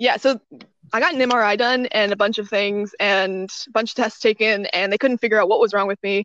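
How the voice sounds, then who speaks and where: In a dry, close recording with no echo, a woman speaks at a fairly high pitch with fairly even intonation. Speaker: English teacher abroad. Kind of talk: casual chat. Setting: outdoors in the woods.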